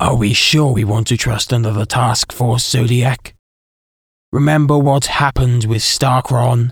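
A man speaks in a put-on character voice at a medium pitch, raspy, with very even loudness, fairly even intonation and a moderate pace. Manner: anxious, argumentative.

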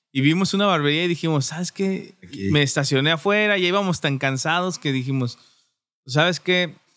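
A man with an unremarkable speaking voice talks at a fairly quick pace and fairly high pitch, with ordinary pitch variation. The recording is very clean, with a silent background. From Durango, Mexico. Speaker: barbershop owner. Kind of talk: casual chat.

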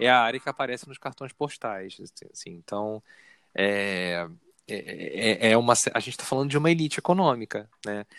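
A man with a Carioca accent speaks with lively intonation and big swings in loudness, recorded with a dry, close sound and no echo. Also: medium pitch for a man, moderate pace, very clean recording, silent background. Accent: carioca Brazilian Portuguese. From Rio de Janeiro, north zone. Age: 40s. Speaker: researcher. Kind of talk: casual interview conversation.

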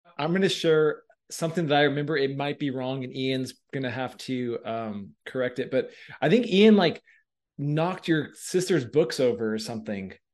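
In an ordinary speaking voice, a man with a fairly high pitch talks at a moderate pace with lively intonation against a quiet background. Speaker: podcast host. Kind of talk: casual interview.

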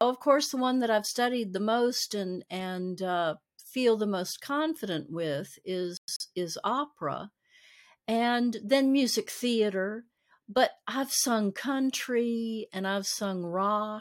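In a very clean recording with a silent background, a woman with an American accent talks at a very slow pace, her fairly high pitch carried by lively intonation. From US South, Nashville, Tennessee. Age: 60s. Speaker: voice actress and singer. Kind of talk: interview, casual chat.

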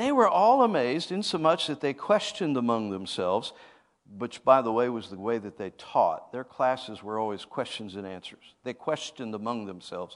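A man talks in a plain, everyday voice at a medium pitch and a moderate pace. His intonation is lively, and the background is quiet. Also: big swings in loudness. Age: 50s. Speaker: apostle, guest preacher. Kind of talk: sermon. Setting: church.

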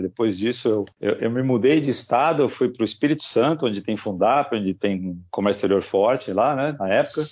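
A man with a plain, everyday voice, fairly quick pace, and ordinary pitch variation. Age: 40s. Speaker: foreign trade professional. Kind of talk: casual interview.

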